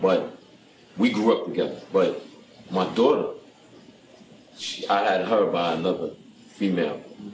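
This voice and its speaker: A man with a New York accent speaks at a fairly slow pace with long, frequent pauses and big swings in loudness, over noticeable background noise. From Brooklyn, New York. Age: 40s. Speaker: guest, former prisoner. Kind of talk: testimony.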